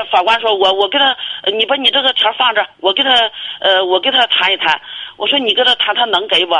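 Fairly quick-paced speech over noticeable background noise. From Inner Mongolia, China. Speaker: caller. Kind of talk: call-in advice conversation. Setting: phone call. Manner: halting.

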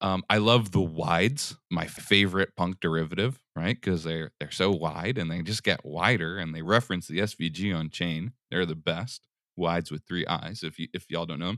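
With a very deep, low pitch and a bright, sharp tone, a man talks at a moderate pace with hardly any pauses and ordinary pitch variation, in a dry, close sound with no echo on a very clean recording with a silent background. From US Northeast, Philadelphia. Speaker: collector and entrepreneur. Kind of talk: interview.

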